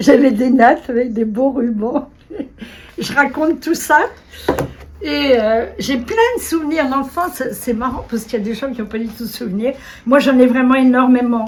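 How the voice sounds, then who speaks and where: A woman speaks at a moderate pace and high pitch, with ordinary pitch variation. She takes long, frequent pauses, and background noise is noticeable. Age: 80s+. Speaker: retired kindergarten director and writer. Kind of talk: casual interview talk.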